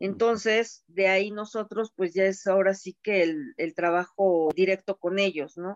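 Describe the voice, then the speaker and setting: Hardly pausing, a woman with an unremarkable speaking voice talks at a fairly slow pace and a medium pitch, her intonation fairly even and the sound dry and close with no echo. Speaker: procurement manager. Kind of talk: panel discussion.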